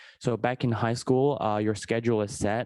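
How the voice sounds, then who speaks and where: The sound is dry and close with no echo. A man speaks at medium pitch with fairly even intonation. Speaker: university student. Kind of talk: panel discussion. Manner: hesitant, many fillers.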